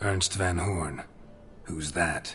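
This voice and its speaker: Against clear background noise, a man puts on a raspy character voice at a very deep, low pitch. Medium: machinima. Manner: terse, deadpan.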